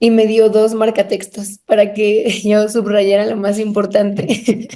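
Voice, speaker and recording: A woman speaks at a fairly high pitch with fairly even intonation. Her tone is dark and mellow. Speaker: podcast co-host. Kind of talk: casual chat.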